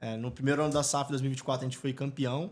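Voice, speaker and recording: A man with an ordinary speaking voice, fairly high in pitch. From Brazil, Espírito Santo. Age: 30s. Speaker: football club executive and entrepreneur. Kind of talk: podcast interview. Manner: casual, filler-heavy.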